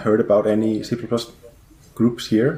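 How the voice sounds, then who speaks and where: In an Icelandic accent, a man speaks with a dark, mellow tone. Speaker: game company programmer. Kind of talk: podcast interview.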